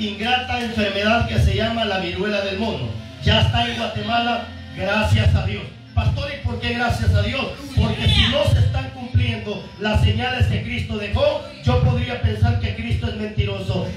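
A man talks at a moderate pace in a room with audible echo, with music clearly playing behind him. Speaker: pastor. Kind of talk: sermon.

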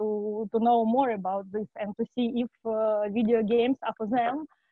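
Against a quiet background, a woman with a non-native accent speaks in a flat monotone, the sound dry with no echo. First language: not English. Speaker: academic researcher presenting a webinar. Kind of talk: webinar presentation. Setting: video call. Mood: warm, welcoming. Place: home room.

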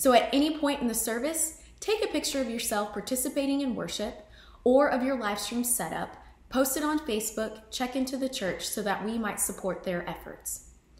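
A woman's high-pitched voice with ordinary pitch variation at a moderate pace, heard with audible room echo. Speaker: associate pastor. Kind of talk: church service welcome and announcements. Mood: warm, welcoming. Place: home room.

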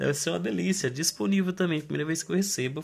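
A man with a Brazilian accent and lively intonation. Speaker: online reseller. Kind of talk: street-seller style sales pitch, unboxing and product showcase. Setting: home video, unboxing to camera. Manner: animated, pitchy, hawking products with a chatty direct-to-camera patter; repeatedly addresses the audience as 'gente' and pushes bargains. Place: home room. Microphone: phone near.

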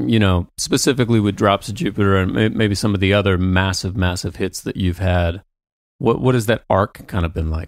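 In a very clean recording with a silent background, a man with a fairly low pitch talks at a moderate pace in a plain, everyday voice. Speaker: podcast host and musician. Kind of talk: casual comedic chat.

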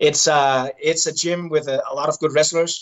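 At a moderate pace, a man with a Danish accent talks in a fairly high voice over a quiet background. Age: 30s. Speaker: Olympic wrestler turned MMA fighter. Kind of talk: casual interview. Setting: video call from hotel. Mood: relaxed, upbeat. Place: home room. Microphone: video call.

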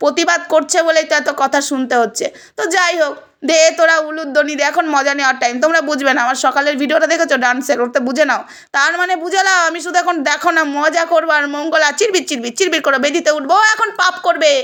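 Over noticeable background noise, a woman talks in a raised, projected voice with an animated tone. Her pitch is high, and her pitch variation is ordinary. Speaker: video blogger. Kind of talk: heated rant to viewers.

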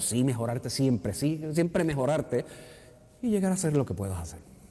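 A man's dark, mellow voice carries vocal fry and very wide pitch swings. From Puerto Rico, Río Piedras; Puerto Rico. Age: 60s. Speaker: actor and retired theatre technical director; actor. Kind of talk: interview. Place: hall.

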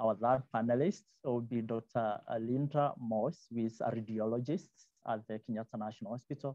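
A man talks at a moderate pace in a dark, mellow tone with ordinary pitch variation. The sound is dry with no echo, and the background is quiet. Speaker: symposium moderator. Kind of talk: event moderation introducing panelists. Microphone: video call.

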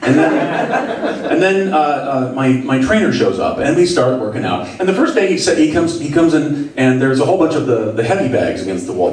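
Audible room echo and light background noise surround the voice. A man speaks at a fairly quick pace. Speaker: stand-up comedian. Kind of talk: stand-up. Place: stage.

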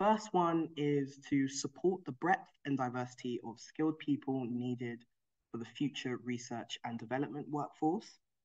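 The background stays quiet. Speech moves at a moderate pace. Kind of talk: presentation talk. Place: home room. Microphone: video call.

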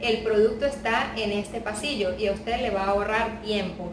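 A woman speaks. Noticeable background noise can be heard. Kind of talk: tutorial. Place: home room.

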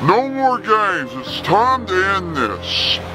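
Loud background noise sits behind a man doing a put-on character voice. He speaks at a high pitch and a fairly slow pace. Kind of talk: comic overacting. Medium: comedy sketch. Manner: menacing, taunting, crude.

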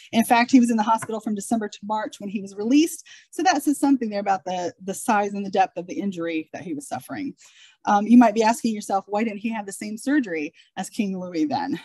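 Fairly high-pitched yet dark and mellow in tone, a woman speaks very fast and somewhat breathily with lively intonation and big swings in loudness, the sound dry and close with no echo. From Ohio. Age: 40s. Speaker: genealogist. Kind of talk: lecture. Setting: stage with audience.

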